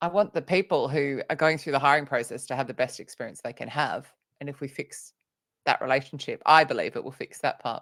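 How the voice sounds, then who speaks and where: A woman with an Australian accent speaks fairly quickly in a very deep, low voice. The recording is very clean, with a silent background. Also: ordinary pitch variation. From Australia (Sydney). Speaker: author and recruitment trainer. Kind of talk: interview on a live vodcast.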